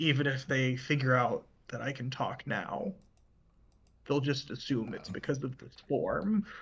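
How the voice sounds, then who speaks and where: A man whispers in a raspy, put-on character voice. He keeps a moderate pace. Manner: whispering.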